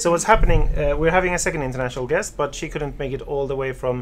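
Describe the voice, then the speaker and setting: Noticeable background noise runs under a man's voice. He speaks with a Swedish accent and ordinary pitch variation. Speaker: web show host. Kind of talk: casual chat. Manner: fast.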